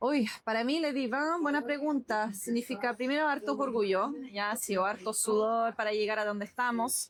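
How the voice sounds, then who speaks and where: At a moderate pace, a woman with a fairly high pitch speaks with hardly any pauses, very even loudness, and ordinary pitch variation. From France. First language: French (speaking Spanish). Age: 30s. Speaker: business owner. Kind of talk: interview.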